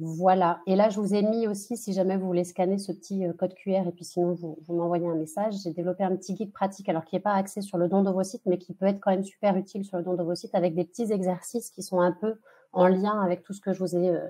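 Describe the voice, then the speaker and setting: Speaking at a very fast pace with hardly any pauses, a woman's medium-pitched voice has a dark, mellow tone and monotone, flat intonation. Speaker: fertility coach. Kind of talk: webinar presentation. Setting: online webinar. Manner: halting, many fillers.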